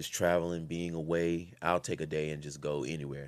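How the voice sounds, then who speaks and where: Recorded very cleanly with a silent background, a man speaks with a very deep, low pitch in a monotone, flat intonation. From Louisiana. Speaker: actor and director. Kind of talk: casual interview.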